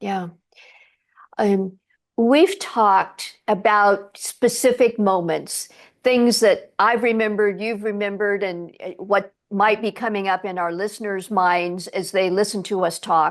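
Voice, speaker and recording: This is an unremarkable speaking voice at a fairly slow pace. The intonation is fairly even, and the background is quiet. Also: woman, medium pitch for a woman. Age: 60s. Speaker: podcast host. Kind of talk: interview.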